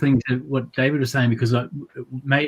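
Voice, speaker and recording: With a New Zealand accent, a man talks at a medium pitch in an enthusiastic tone. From Waikato, New Zealand. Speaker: counsellor and primary school teacher. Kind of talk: interview answer.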